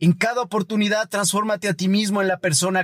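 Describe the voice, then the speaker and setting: Delivered at a moderate speed, the voice sounds dry and close, without any echo. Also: man. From Ecuador. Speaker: podcast host. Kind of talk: scripted reflective monologue. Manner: formal.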